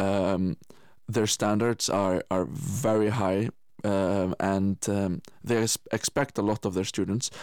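At a very slow pace and with fairly even intonation, this voice carries an Icelandic accent on a very clean recording with a silent background. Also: man, fairly low pitch for a man, very even loudness. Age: 20s. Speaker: musician and Paralympic swimmer. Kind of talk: radio interview.

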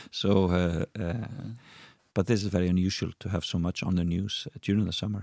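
Very deep, low male voice with an Icelandic accent, a fairly quick pace, fairly even intonation, and a dry, close sound with no echo. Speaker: TV presenter and entertainer. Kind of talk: casual chat. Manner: halting.

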